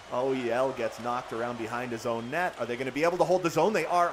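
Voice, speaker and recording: This is a man speaking at a medium pitch. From Canada. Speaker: gaming streamer. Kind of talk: live game commentary with chat reading. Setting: live stream. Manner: animated.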